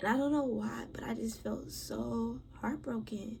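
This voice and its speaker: A soft-spoken woman. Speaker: podcast host. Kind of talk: personal storytelling monologue.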